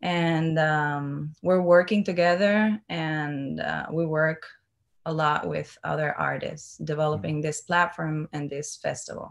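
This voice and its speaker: In a Cuban accent, a woman with a very deep, low pitch talks at a very slow pace with fairly even intonation against a quiet background. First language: Spanish. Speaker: dancer. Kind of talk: panel discussion. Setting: video call. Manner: halting. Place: home room. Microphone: video call.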